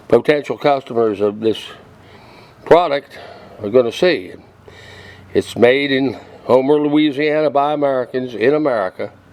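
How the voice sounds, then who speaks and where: Against noticeable background noise, a man with a medium pitch talks at a moderate pace with ordinary pitch variation and long, frequent pauses. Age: 70s. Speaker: cooking video creator. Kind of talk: product demonstration. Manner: casual, rambling with fillers.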